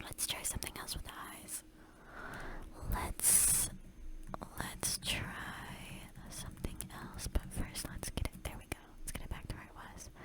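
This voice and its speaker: Someone whispers at a fairly slow pace with long, frequent pauses amid noticeable background noise. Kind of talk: ASMR whispered relaxation video, casual talk to viewers. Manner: whispered, soft, relaxing.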